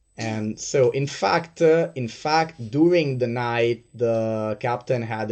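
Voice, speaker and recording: A medium-pitched man with a non-native accent. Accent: non-native English, trouble with R. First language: not English. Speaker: game master. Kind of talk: tabletop roleplay narration. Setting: livestream. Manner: halting, many fillers.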